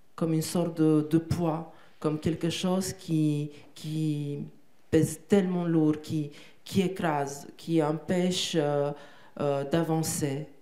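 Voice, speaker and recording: A woman with a Romanian accent speaks very slowly in a very deep, low voice with a dark, mellow tone and flat monotone intonation, with audible room echo. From Romania, Bucharest. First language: Romanian (speaking French). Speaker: poet and translator. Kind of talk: interview on stage. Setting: theatre stage with audience. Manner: halting, with many repetitions.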